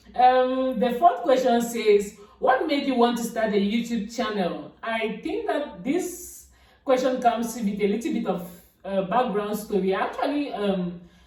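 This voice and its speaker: Against noticeable background noise and audible room echo, a woman speaks fairly slowly at a fairly high pitch with lively intonation. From Cameroon. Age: 20s. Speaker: vlogger. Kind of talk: casual vlog talk. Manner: halting.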